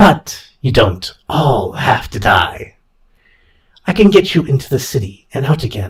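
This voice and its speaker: A man speaks in a put-on character voice. His pitch is fairly high, and his pace is fairly slow. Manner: hissing.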